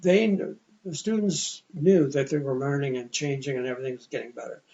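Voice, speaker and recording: With a Canadian accent, a man speaks at a moderate pace and fairly high pitch, somewhat breathy, his pitch varying in an ordinary way. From Ontario, Canada. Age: old. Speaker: retired teacher and vice principal. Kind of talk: interview conversation. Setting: sit-down interview.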